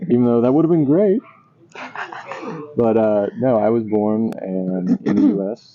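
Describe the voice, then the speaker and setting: A man speaks at a medium pitch and a fairly slow pace, with lively intonation and long, frequent pauses. Noticeable background noise runs under his voice. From USA, moved around, long in the South. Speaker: vlogger, linguistics professor. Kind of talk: casual chat.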